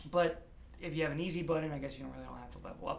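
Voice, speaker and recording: A man mumbles amid audible room echo. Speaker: gaming YouTuber. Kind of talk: gameplay commentary. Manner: mumbling; casual, hesitant with fillers.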